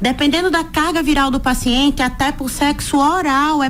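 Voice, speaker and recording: Someone speaks with an Alagoas accent while music plays in the background. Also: woman. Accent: northeastern Brazilian (Alagoas), noticeable. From Alagoas, northeast Brazil. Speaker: physician. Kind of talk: radio interview.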